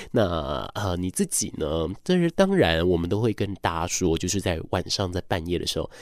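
The recording is very clean, with a silent background. A man speaks at a fairly quick pace in a very deep, low pitch. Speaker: radio host. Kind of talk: late-night radio talk.

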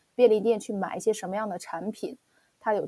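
A woman's dark, mellow tone at a fairly quick pace with fairly even intonation, in a very clean recording with a silent background. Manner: halting, many fillers.

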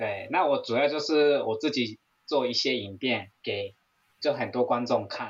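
A man in a Japanese accent, medium-pitched, at a very slow pace. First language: Japanese (speaking Chinese). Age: 40s. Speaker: Japanese language teacher and YouTuber. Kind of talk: interview chat.

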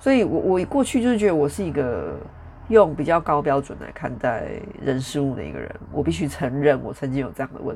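Noticeable background noise sits behind a woman with a very deep, low pitch talking at a fairly quick pace. Her pitch swings very widely and her loudness shifts in big swings. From Taiwan, Taichung. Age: 40s. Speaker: podcast host. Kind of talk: casual solo monologue. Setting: home recording with traffic noise in background.

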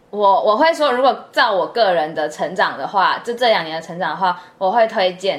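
Amid noticeable background noise, a woman with a medium pitch speaks at a moderate pace. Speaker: podcast co-host, student abroad. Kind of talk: casual chat.

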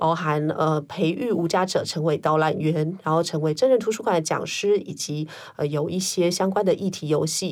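A woman with an unremarkable speaking voice talks at a moderate pace with hardly any pauses. Her pitch is fairly low, with ordinary variation. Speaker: social worker. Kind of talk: interview conversation.

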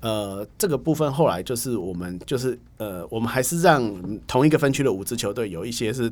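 On a very clean recording with a silent background, an ordinary speaking voice moves at a fairly quick pace with lively intonation. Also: man, medium pitch for a man. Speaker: baseball writer and magazine editor. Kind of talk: casual interview chat.

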